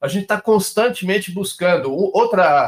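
A man talks here in a high pitch. The rise and fall of his pitch is ordinary. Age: 60s. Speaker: industrial company general manager. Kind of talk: interview.

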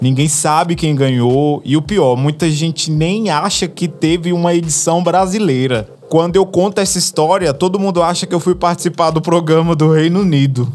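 An animated man with a high pitch, moderate pace and very even loudness, over noticeable background noise. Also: ordinary pitch variation, hardly any pauses. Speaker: podcast host. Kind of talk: casual storytelling monologue.

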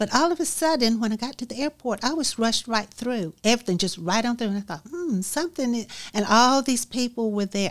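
A woman speaks with an Alabama accent in a very clean recording with a silent background. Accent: Southern US (Alabama). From US South, Alabama (Dothan). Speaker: author. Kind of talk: interview, personal story.

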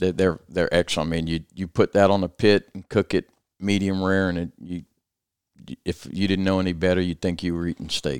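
In a Louisiana accent, a man speaks fairly quickly with a very deep, low pitch and monotone, flat intonation, the sound dry and close with no echo. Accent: southern US (Louisiana). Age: 60s. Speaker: restoration business owner. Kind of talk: casual interview. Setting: office studio.

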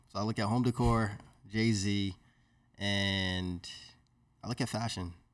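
Fairly low and fairly even in intonation, a man's voice comes through on a very clean recording with a silent background. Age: 20s. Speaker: private equity investor. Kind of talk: casual chat.

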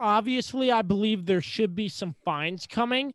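A man speaks against a quiet background. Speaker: podcast host. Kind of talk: sports podcast discussion with sponsor reads.

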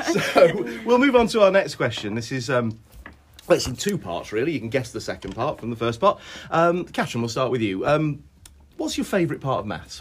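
A man with a fairly high, somewhat breathy voice speaks at a fairly quick pace, his pitch swinging very widely. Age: 50s. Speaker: maths teacher. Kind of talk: casual chat.

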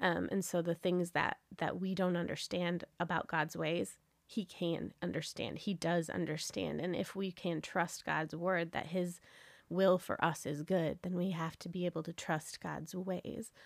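Over a silent background in a very clean recording, a woman speaks fairly slowly at a fairly low pitch, monotone and flat, with vocal fry. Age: 40s. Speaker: podcast co-host and ministry leader. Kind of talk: casual chat.

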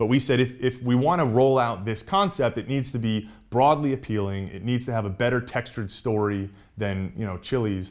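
A man with an American accent in an ordinary speaking voice, medium pitch and ordinary pitch variation, fairly quick pace with hardly any pauses, on a very clean recording with a silent background. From Atlanta suburbs, US South (from New York until 9). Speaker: restaurant owner. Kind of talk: interview.

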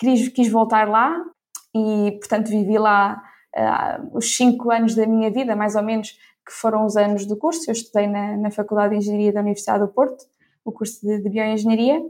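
A woman with an ordinary speaking voice, fairly high in pitch, at a moderate pace. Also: fairly even intonation. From Ílhavo, Aveiro region, northern Portugal. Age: 20s. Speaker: corporate innovation professional. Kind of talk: interview.

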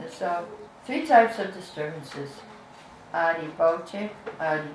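Over noticeable background noise, a woman with a fairly low pitch talks at a fairly slow pace with ordinary pitch variation. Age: 70s. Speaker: spiritual teacher. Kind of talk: lecture. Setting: live class, streamed online.

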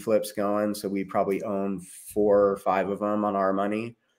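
This man has an unremarkable speaking voice, fairly low in pitch and moderate in pace. The recording is very clean, with a silent background. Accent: American. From California, small town north of LA. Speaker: real estate investor. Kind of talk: casual interview chat.

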